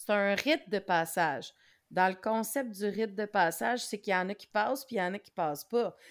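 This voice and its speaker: A woman speaks with a Quebec accent at a moderate pace and medium pitch. Her pitch variation is ordinary, and the recording is very clean with a silent background. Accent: Québécois French. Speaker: knitting podcaster. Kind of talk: casual chat.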